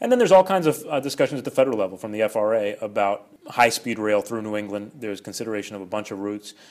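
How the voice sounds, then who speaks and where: A man with an American accent talks very fast, with hardly any pauses and big swings in loudness. His pitch is fairly low, and its variation is ordinary. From New York suburbs, Westchester. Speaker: city mayor. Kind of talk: interview. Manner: halting, repeats words.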